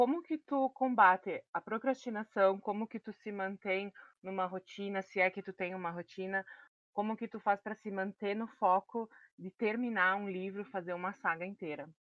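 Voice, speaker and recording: Speaking with a southern Brazilian accent at a moderate pace and medium pitch, a woman shows ordinary pitch variation and big swings in loudness. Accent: gaúcho Brazilian Portuguese. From Rio Grande do Sul. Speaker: podcast co-host. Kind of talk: interview.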